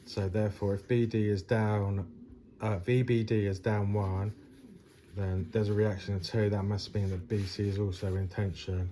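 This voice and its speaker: Delivered at a moderate pace, this voice is somewhat breathy, with a dark, mellow tone and monotone, flat intonation. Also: man, fairly low pitch for a man. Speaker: engineering tutor. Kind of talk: tutorial. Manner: hesitant, many fillers.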